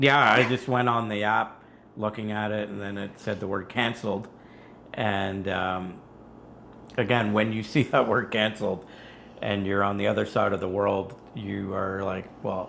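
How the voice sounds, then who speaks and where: Vocal fry marks the fairly low voice of a man who speaks at a moderate pace with fairly even intonation. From Canada. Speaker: engineer, travel video creator. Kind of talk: casual chat.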